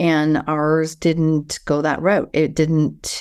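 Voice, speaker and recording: The speaker has a slight Canadian accent, heard over a quiet background. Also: woman. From Canada. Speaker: speaker, author and coach. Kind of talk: casual interview chat.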